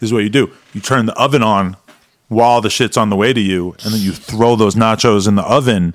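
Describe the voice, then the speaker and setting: A man with an unremarkable speaking voice talks at a fairly quick pace in a fairly low pitch with fairly even intonation. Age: 40s. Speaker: adult film creator and podcast host. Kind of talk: casual chat.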